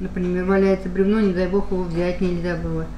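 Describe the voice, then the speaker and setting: A woman is speaking. Her voice carries audible room echo along with light background noise. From Russia. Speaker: pensioner. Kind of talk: interview answer. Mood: reflective, emotional memories. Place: kitchen.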